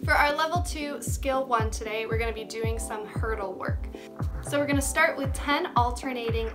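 A woman keeps a moderate pace while clear music sounds behind her. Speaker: gymnastics coach. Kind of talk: tutorial. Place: home room. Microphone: phone near.

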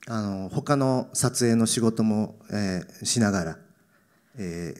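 Against a quiet background, a man with a plain, everyday voice speaks at a fairly low pitch and fairly slow pace with lively intonation. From Tokyo, Japan. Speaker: actor. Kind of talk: Q&A after a film screening; interview answer. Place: stage. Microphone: handheld.

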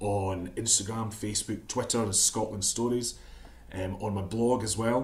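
Someone reads aloud, the voice natural. Intonation holds fairly even throughout.

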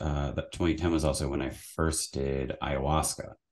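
A man speaks slowly-ish against a quiet background, his pitch very deep and low. His intonation stays fairly even, with vocal fry throughout. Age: 30s. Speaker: psychotherapist; podcast guest. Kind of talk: casual interview conversation. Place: home room. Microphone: studio mic.

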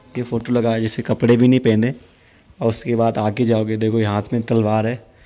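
Over music in the background, the voice moves at a fairly slow pace in a monotone, flat intonation. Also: man. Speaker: travel vlogger. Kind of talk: casual vlog tour narration. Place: hall. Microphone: phone near.

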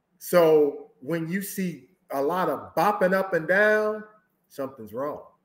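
Speaking very slowly in an American accent, a man with a high voice uses ordinary pitch variation amid audible room echo. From US Midwest. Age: 50s. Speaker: social dancer and Navy veteran; guest dance instructor. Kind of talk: interview answer. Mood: animated, candid storytelling. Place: home room.

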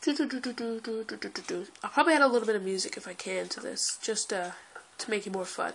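An animated voice comes through noticeable background noise. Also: woman, fairly high pitch for a woman, lively intonation, moderate pace. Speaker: gaming youtuber. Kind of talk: gameplay commentary.

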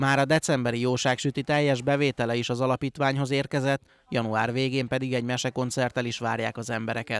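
With hardly any pauses and a very fast pace, a man speaks at medium pitch in a monotone, flat intonation, the sound dry and close with no echo. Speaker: news reporter. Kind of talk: news reading.

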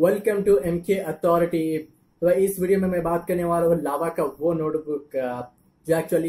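A man with a high voice talks at a moderate speed, his intonation fairly even. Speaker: tech channel host. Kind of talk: casual tech review vlog. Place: home room. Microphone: webcam.

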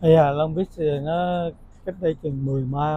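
Over light background noise, a man with a fairly high pitch speaks with fairly even intonation in a dry sound with no echo. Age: 60s. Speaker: retiring engineer; interviewee. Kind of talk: interview. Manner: halting. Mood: calm, reflective. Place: cafe. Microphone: lapel.

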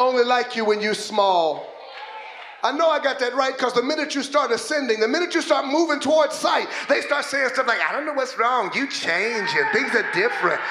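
Projecting his voice at an extremely high pitch, a man talks fairly quickly with lively intonation over noticeable background noise. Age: 50s. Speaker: pastor. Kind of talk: sermon. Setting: church. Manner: animated. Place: church. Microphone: handheld.

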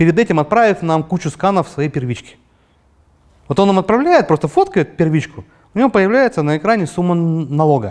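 Pitched high, a man speaks with lively intonation and long, frequent pauses against a quiet background. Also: fairly quick pace. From Urals, Russia (Yekaterinburg); Urals, Russia. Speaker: entrepreneur; guest. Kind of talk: interview; interview answer. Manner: hesitant, many fillers. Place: studio. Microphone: lapel.

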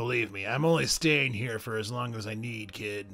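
Putting on a character voice, a man talks at a moderate pace with medium pitch and ordinary pitch variation. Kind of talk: gruff comic hero voice. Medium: actual play. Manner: sarcastic, impatient, insulting.

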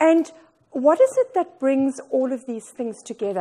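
Against a quiet background, a woman with a high-pitched yet dark, mellow tone speaks at a moderate pace. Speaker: keynote speaker. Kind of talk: motivational talk. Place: meeting room.

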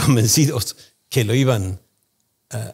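With an Argentine accent, a man speaks in a somewhat breathy voice at a moderate pace with ordinary pitch variation, the background quiet. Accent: Argentine Spanish (Rioplatense). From Argentina. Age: 60s. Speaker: economist, think tank founder; podcast guest. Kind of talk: interview. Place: studio. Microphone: studio mic.

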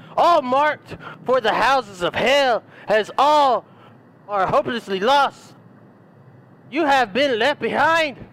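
With lively intonation and a fairly bright tone, the put-on character voice moves at a slow pace. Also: man, extremely high pitch for a man.

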